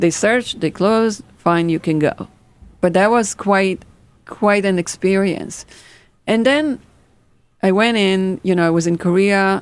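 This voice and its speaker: A woman of medium pitch talks at a fairly slow pace with long, frequent pauses, very even loudness and ordinary pitch variation. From Israel. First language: Hebrew. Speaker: fashion designer. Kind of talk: interview storytelling. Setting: podcast. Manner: animated.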